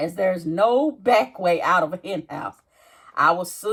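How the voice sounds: Natural reading voice, nothing more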